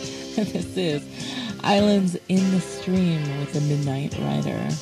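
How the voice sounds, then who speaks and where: A woman speaks with a very deep, low pitch. Clear music plays behind her, and the sound is dry with no echo. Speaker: radio DJ. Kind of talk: radio DJ aircheck. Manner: smooth, flirtatious. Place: studio.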